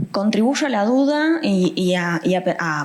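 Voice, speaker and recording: Over noticeable background noise, a woman speaks at a medium pitch with lively intonation. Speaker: panelist. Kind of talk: panel discussion. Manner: soft-spoken.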